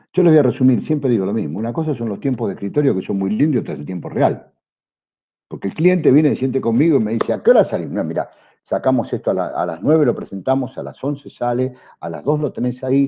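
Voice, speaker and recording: This man talks at a very fast pace with a medium pitch, very wide pitch swings and vocal fry. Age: 60s. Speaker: customs broker. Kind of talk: panel talk to students. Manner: hesitant fillers.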